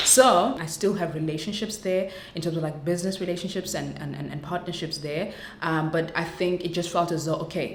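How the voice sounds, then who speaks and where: A woman speaks at a fairly quick pace in a fairly low pitch, her intonation fairly even, with audible room echo and noticeable background noise. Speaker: content creator. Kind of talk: vlog testimony. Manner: fast.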